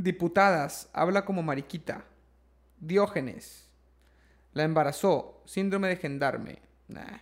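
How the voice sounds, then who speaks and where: In a very clean recording with a silent background, a high-pitched man with a Mexican accent talks at a very slow pace, with long, frequent pauses, big swings in loudness and ordinary pitch variation. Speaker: podcast host. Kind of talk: casual chat, joke telling. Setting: livestream on Twitch.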